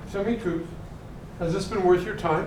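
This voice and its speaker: A man talks at a high pitch. Audible room echo and noticeable background noise surround his voice. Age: 70s. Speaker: voice coach. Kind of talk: workshop coaching. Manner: animated.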